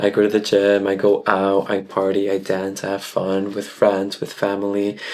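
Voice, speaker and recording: Noticeable background noise sits behind a man speaking at a moderate pace. His voice is fairly low in pitch, with monotone, flat intonation. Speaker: content creator and tarot reader. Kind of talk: personal vlog monologue. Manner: casual, conversational.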